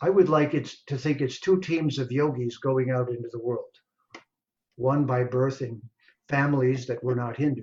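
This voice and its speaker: A man with a medium pitch and a somewhat breathy voice speaks at a moderate pace with fairly even intonation. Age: 70s. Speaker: Vedic scholar and translator. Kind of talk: speech at online launch event.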